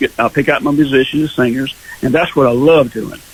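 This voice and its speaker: Talking at a very fast pace, a man with an American accent has a fairly high pitch and ordinary pitch variation. Background noise is noticeable. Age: 70s. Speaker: singer-songwriter. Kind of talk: radio interview. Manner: halting.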